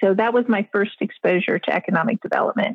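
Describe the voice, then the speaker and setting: Fairly even intonation in a somewhat breathy voice. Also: woman. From international upbringing, born in South Africa. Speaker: economic development consultant. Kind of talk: interview conversation. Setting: remote call.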